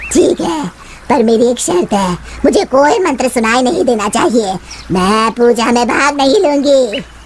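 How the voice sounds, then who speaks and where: A cartoonish character voice, fairly high in pitch and at a fairly slow pace, over clear background noise. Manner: arrogant, threatening.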